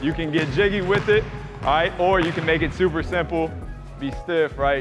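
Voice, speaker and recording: A man at a moderate pace with fairly even intonation, clear music playing behind him. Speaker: basketball coach. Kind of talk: instruction during drills. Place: gym.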